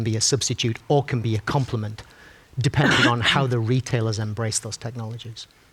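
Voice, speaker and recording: A man talks at a very fast pace and a medium pitch. His voice is somewhat breathy, with monotone, flat intonation. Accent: Sunderland. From northern England, Sunderland. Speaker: tech company executive, panelist. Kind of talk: panel discussion. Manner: halting, many fillers and restarts.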